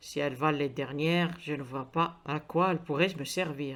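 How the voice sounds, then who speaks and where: Putting on a character voice, a man rumbles at a moderate pace in a fairly high pitch with fairly even intonation. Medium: read story. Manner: sneering, grumbling.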